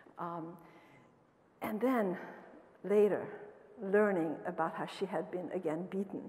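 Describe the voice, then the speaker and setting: A woman speaks in a dark, mellow tone with fairly even intonation. Her speech has long, frequent pauses. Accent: Romanian. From Romania. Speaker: professor. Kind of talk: lecture. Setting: stage with audience. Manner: fast talker. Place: hall. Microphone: podium.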